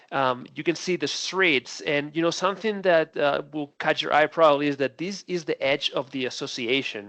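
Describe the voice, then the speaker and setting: A man speaks with a Spanish accent at a moderate pace. The sound is dry and close, with no echo. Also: quiet background. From Spain. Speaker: defensible space supervisor. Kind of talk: training webinar presentation. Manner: many fillers and hesitations.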